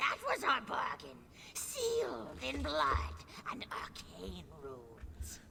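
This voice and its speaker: Over clear background noise, someone does a put-on character voice at a very slow pace. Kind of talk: video game character acting. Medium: video game. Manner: eerie, possessive.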